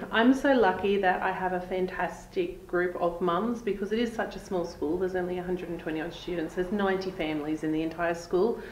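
The voice moves at a fairly quick pace with hardly any pauses and fairly even intonation. There is audible room echo and light background noise. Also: woman. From Australia. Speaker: real estate agent and host. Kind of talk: interview host on a real estate video show. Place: office. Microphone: lapel.

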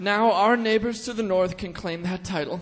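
A man talks at a moderate pace in a high voice. His intonation stays fairly even. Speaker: radio-theater performer. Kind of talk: scripted comic monologue. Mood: mock accusatory, comic. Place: stage.

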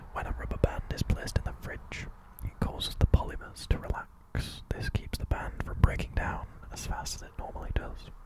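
A soft-spoken man talks at a moderate pace. The sound is dry with no echo, though loud background noise comes through. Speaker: content creator. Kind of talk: reading facts with casual commentary. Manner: soft, close-mic ASMR murmur. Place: home room. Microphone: studio mic.

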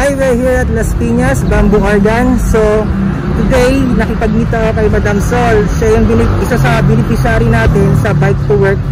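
The speech moves at a moderate pace over music in the background. The sound is dry, with no echo. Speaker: cyclist vlogger giving a bike. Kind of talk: casual vlog chat. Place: street. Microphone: phone near.

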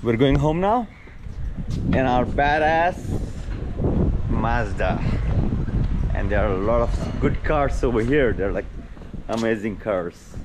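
Fairly slow speech from a man with long, frequent pauses and noticeable background noise. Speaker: car owner vlogger. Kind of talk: casual vlog chat. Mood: cheerful, slightly disappointed. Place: garden. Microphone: phone near.

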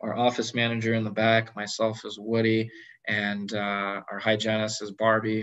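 A man with an American accent, fairly low in pitch, monotone and flat in intonation, at a moderate pace over a quiet background. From California. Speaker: general dentist; guest. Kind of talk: online presentation with Q&A. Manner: casual with many fillers. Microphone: video call.

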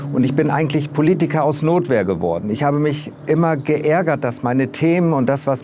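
A man at a fairly high pitch and moderate pace, ordinary pitch variation, light background noise. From northern Germany, Bremen; Germany. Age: 60s. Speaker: local election candidate; election candidate. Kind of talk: campaign video statement; campaign self-introduction. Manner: hesitant with filler words. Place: street. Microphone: lapel.

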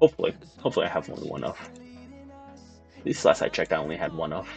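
Very fast speech from a man over background music. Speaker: gamer. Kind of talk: casual gameplay commentary. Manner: whispered. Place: home room.

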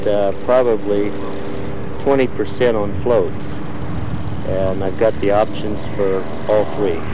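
The speech comes at a very slow pace with noticeable background noise. The sound is dry, with no echo. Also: man.

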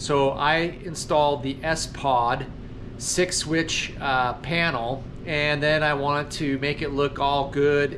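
With noticeable background noise behind him, a man speaks very slowly in a monotone, flat intonation. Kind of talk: casual vlog chat. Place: garage. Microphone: phone near.

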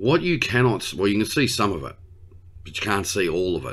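This man speaks with vocal fry. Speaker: tech channel host. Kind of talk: casual vlog chat. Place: office. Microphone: webcam.

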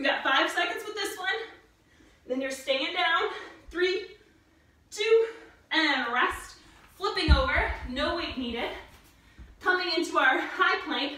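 A raised, projected voice moves at a fairly slow pace with long, frequent pauses and big swings in loudness, in a room with audible echo. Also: woman. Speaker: fitness instructor. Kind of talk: workout instruction. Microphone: camera far.

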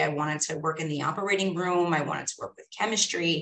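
In a New York accent, a woman speaks at a fairly quick pace and fairly low pitch with fairly even intonation, light background noise behind her. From New York, Staten Island. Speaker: school psychologist; guest. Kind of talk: guest talk. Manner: casual. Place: office. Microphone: video call.

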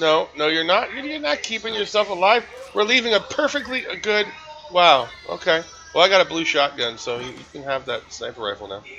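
Noticeable background noise sits behind a man with a high pitch. His voice is raised and projected, with very wide pitch swings. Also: moderate pace, big swings in loudness. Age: 40s. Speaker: gaming streamer. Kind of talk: live gameplay commentary. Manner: animated.

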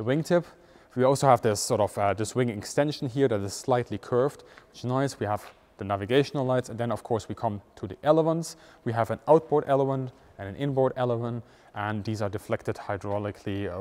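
This man talks at a fairly quick pace, his loudness swinging widely. His pitch varies in an ordinary way. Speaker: presenter. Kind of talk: tutorial. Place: hall.

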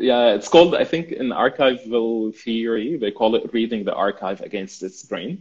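A man with an Arabic accent at a moderate pace, with hardly any pauses. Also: ordinary pitch variation. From Syria. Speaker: urban planning student and mapping project creator; guest. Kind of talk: interview. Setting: livestream video call. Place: home room. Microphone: video call.

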